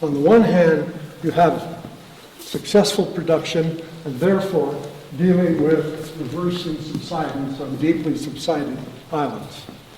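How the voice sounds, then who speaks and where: A man's fairly high voice moves at a fairly slow pace with ordinary pitch variation, heard with audible room echo and noticeable background noise. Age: 80s+. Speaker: farmer. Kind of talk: speech. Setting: dinner event in a barn. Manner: animated.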